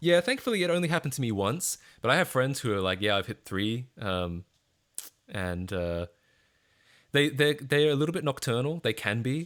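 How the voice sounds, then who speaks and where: An Australian accent from a man with lively intonation, in a very clean recording with a silent background. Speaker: streamer. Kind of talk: casual chat. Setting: live stream. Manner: halting, with fillers and repeats.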